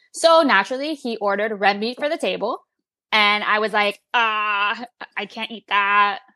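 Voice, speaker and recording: Recorded very clean with a silent background and a dry, close sound with no echo, a woman with a plain, everyday voice and a fairly high pitch speaks at a moderate pace, with ordinary pitch variation and big swings in loudness. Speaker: podcast co-host. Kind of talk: casual chat.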